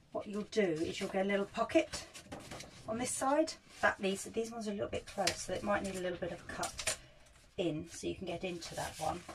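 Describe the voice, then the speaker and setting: A woman speaks fairly quickly with lively intonation while noticeable background noise carries on. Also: medium pitch for a woman. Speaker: arts practitioner. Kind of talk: tutorial. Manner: casual.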